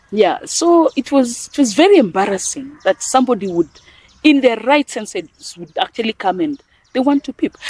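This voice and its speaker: In a dry, close recording with no echo, a woman with a Kenyan accent and a high pitch talks at a moderate pace, with very wide pitch swings and big swings in loudness. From western Kenya. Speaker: NGO executive director. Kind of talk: interview.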